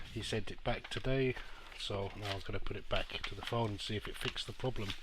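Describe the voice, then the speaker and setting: Noticeable background noise fills the recording. Through it, a man speaks at a very fast pace. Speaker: microsoldering phone repair technician. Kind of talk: casual repair tutorial narration.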